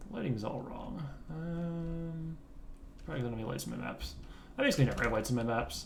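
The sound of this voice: A man speaks at a fairly quick pace with a medium pitch and vocal fry.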